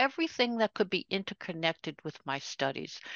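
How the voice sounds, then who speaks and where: With an American accent, a woman talks in very wide pitch swings. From New York City (Queens). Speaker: retired educator and author. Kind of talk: interview conversation.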